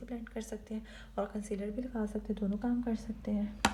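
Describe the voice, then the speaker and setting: The woman speaks with audible room echo, and noticeable background noise runs beneath her. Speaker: beauty vlogger. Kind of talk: makeup tutorial. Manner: soft-spoken, quiet so baby won't wake.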